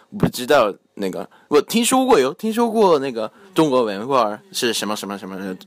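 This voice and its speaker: A man with a Japanese accent speaks in a dry, close sound with no echo. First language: Japanese (speaking Chinese). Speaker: university student, Chinese speech contest contestant. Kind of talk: casual chat. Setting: home recording, group around a table. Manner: halting, many fillers.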